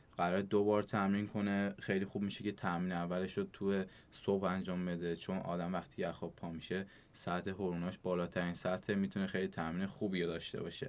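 A man talks at a fairly quick pace in a very deep, low voice with monotone, flat intonation. The recording is very clean, with a silent background. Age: 20s. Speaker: CrossFit athlete. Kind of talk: interview.

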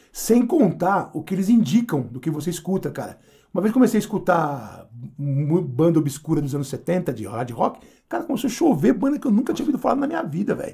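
The voice has a dark, mellow tone, moves at a fairly quick pace, and swings very widely in pitch. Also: man, high pitch for a man. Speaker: podcast host and punk musician. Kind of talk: casual chat.

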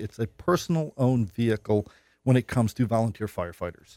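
A man with an American accent speaks at a moderate pace in a medium pitch and a dark, mellow tone. The recording is very clean with a silent background, dry and close with no echo. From New York North Country. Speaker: state senator. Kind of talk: radio interview. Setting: studio.

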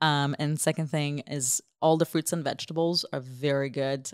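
Recorded very cleanly with a silent background and a dry, close sound with no echo, a woman with a very deep, low voice speaks at a moderate pace with ordinary pitch variation. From Israel, after early childhood in Ukraine. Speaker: humanitarian aid worker. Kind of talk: interview.

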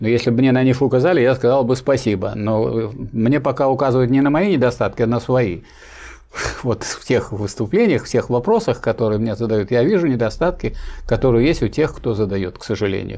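Against a quiet background, a man with a medium pitch and a dark, mellow tone talks at a fairly quick pace with ordinary pitch variation. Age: 70s. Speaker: professor and Marxist political theorist. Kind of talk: lecture-style answers to viewer questions. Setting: live online stream. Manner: didactic, with hesitations and repetitions.

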